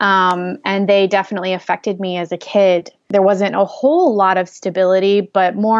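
At a moderate pace, a woman with an American accent speaks at a medium pitch. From US Northeast, southern Connecticut. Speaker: communications strategist. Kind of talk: casual interview. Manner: hesitant, many fillers.

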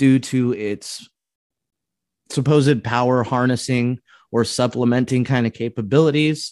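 A man with an American accent speaks at a fairly slow pace and medium pitch, with fairly even intonation, long and frequent pauses, a quiet background, and a dry, close sound with no echo. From US West Coast (coastal California). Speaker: podcast host, conspiracy theorist. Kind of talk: casual interview. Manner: talkative, interrupts.

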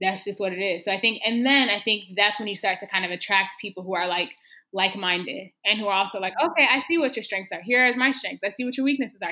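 Speaking at a very fast pace, a woman with an American accent has a bright, sharp tone. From Texas. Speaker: community organizer. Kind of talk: podcast interview.

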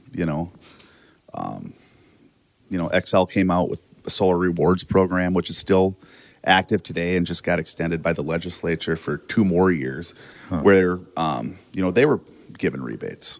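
Pitched very deep and low with vocal fry, a man speaks at a moderate pace with ordinary pitch variation and long, frequent pauses on a very clean recording with a silent background. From South Dakota. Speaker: solar company owner. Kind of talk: casual interview. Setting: in person at his office.

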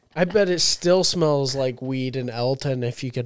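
A man's medium-pitched, normal speaking voice at a moderate pace, with ordinary pitch variation. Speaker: college student. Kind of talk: casual chat.

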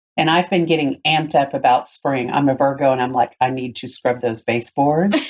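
With a Southern US accent, a woman speaks at a fairly quick pace in a very deep, low pitch. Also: ordinary pitch variation. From US South, Tennessee. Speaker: podcast host. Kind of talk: casual chat.

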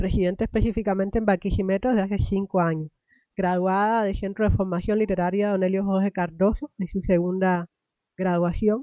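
Using a normal speaking voice, a woman of medium pitch talks at a fairly quick pace with fairly even intonation. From Cuba. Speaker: podcast host. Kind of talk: interview podcast.

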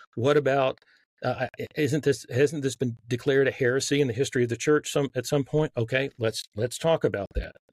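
In a Southern US accent, a man talks fairly quickly with a somewhat breathy, medium-pitched voice. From Texas. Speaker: author.

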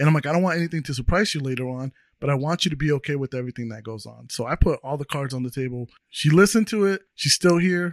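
In a very clean recording with a silent background and a dry, close sound with no echo, a man with a fairly high pitch races along at a very fast pace with hardly any pauses, ordinary pitch variation and big swings in loudness. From Mexican heritage. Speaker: podcast host. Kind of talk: casual chat.

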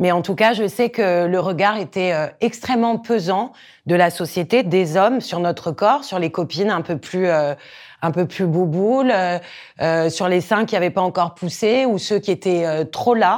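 A woman speaks at a fairly slow pace in a medium pitch, her pitch varying in an ordinary way. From Corsica. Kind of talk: interview testimony. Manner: hesitant, many fillers and repetitions.

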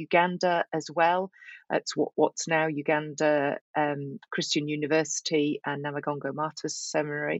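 A woman is speaking. She talks in a Yorkshire accent. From northern England, Yorkshire. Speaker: professor and author. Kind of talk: interview.

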